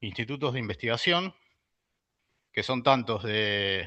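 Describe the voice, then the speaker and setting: A man's bright, sharp tone with lively intonation. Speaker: university researcher and lecturer. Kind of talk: lecture. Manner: hesitant, many fillers.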